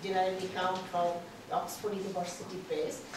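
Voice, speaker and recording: Over noticeable background noise and audible room echo, a woman speaks at a moderate pace. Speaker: conference organizer introducing speaker. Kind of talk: formal introduction. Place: meeting room. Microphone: camera far.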